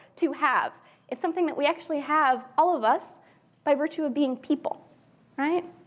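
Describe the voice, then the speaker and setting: This woman speaks in a high pitch with an American accent. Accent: very American. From US, Pennsylvania. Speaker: journalism scholar. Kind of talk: keynote talk.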